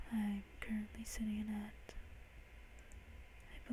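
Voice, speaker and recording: Someone whispers, soft-spoken, against noticeable background noise. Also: man. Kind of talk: ASMR soft speaking to camera about a game. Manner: soft-spoken, whispery.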